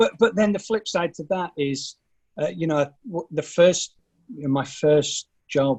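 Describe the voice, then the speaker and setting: A man with a high pitch and ordinary pitch variation talks at a fairly slow pace. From northern England, Burnley, Lancashire. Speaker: finance executive. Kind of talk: podcast interview. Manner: hesitant, many fillers.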